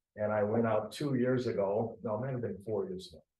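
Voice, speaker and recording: A somewhat breathy man with an American accent. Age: 70s. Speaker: softball umpire. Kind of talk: interview.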